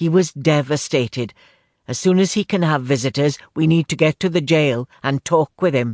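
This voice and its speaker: A man's booming, put-on character voice, fairly high in pitch with ordinary variation, at a moderate pace over a quiet background. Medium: read story.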